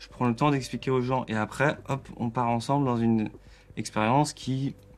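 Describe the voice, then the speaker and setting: A man's voice sits at a medium pitch, flat and monotone. He keeps a moderate pace. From Alsace, France. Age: 20s. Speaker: electronic musician. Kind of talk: therapy session conversation. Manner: halting.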